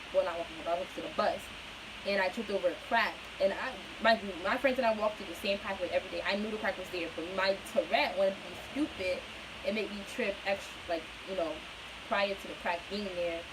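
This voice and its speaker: A woman speaks very fast at a medium pitch with ordinary pitch variation and big swings in loudness, over noticeable background noise. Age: 20s. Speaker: vlogger with Tourette syndrome. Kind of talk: personal vlog talk. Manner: stutter; casual, filler-heavy.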